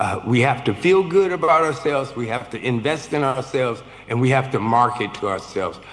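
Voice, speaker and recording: A man talks at a moderate pace with ordinary pitch variation. Noticeable background noise can be heard. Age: 70s. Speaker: film producer. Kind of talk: panel discussion.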